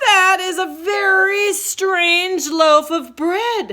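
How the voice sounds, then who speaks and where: A woman's put-on character voice at an extremely high pitch, delivered at a very slow pace. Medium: read story.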